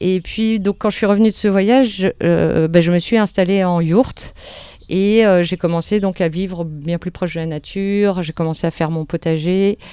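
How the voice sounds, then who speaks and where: The voice has a dark, mellow tone, a moderate pace, and fairly even intonation. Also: woman, medium pitch for a woman. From France, Paris. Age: 40s. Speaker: permaculture and nonviolent communication teacher. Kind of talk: interview. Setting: at her home. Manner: hesitant, many fillers and repetitions.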